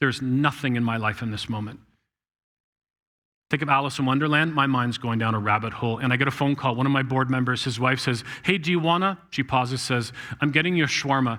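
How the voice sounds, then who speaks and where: At a very fast pace, a man with a Canadian accent speaks in a bright, sharp tone on a very clean recording with a silent background. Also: medium pitch for a man, ordinary pitch variation. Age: 60s. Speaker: guest speaker. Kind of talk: sermon.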